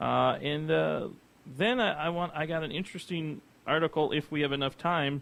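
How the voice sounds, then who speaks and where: Here a man talks with an American accent at a moderate pace. His pitch is fairly high, with ordinary pitch variation. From US Midwest. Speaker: radio show host. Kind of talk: casual radio talk show. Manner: subdued.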